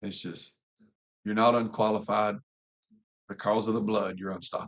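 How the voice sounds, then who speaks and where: A man with a Southern US accent speaks at a moderate pace. His fairly low voice stays monotone and flat. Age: 40s. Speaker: pastor. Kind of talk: casual chat.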